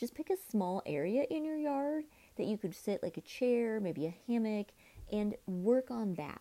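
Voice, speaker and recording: In a very clean recording with a silent background, a woman with a dark, mellow tone speaks at a fairly slow pace with lively intonation. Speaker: podcast host and life coach. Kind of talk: casual solo podcast talk. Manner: animated, high energy.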